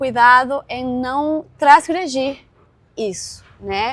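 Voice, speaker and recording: The speech has a Caribbean Spanish accent and a very slow pace. Pitch variation is ordinary. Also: woman. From Venezuela. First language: Spanish (speaking Portuguese). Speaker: history professor and author. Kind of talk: academic interview. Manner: repetitive fillers and restarts.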